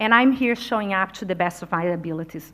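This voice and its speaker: A woman with a non-native accent speaks at a moderate pace. Her tone is bright and sharp. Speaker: leadership consultant and speaker. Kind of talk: conference talk. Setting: stage with audience. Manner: animated.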